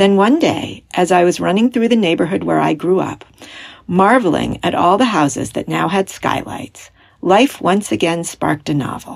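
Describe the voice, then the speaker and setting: A woman talks at a moderate pace in a fairly low voice with some vocal fry. Her intonation is lively. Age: 50s. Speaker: writer and former English professor. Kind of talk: reading aloud.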